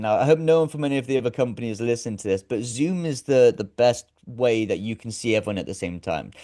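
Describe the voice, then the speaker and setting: A man with a British accent, dark and mellow in tone at a medium pitch, racing along at a very fast pace with lively intonation and hardly any pauses. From UK. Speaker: actor, director and presenter. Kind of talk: casual interview chat.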